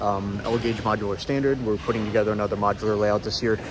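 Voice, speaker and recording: Noticeable background noise sits behind a man whose sound is dry, with no echo. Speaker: hobbyist vlogger. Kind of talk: casual vlog chat. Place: hall. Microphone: phone near.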